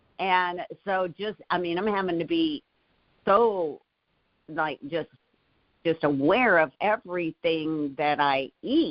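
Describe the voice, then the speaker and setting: A woman talks at a very slow pace with long, frequent pauses. Her pitch sits fairly low. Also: ordinary pitch variation. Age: 60s. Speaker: motivational leadership show co-host. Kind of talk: casual motivational discussion.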